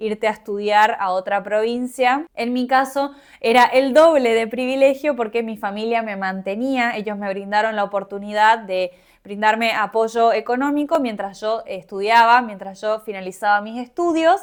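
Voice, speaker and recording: This is a woman with a normal speaking voice and a fairly high pitch. She talks at a moderate pace with ordinary pitch variation. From Argentina, Misiones province. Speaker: podcaster. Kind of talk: personal reflective monologue.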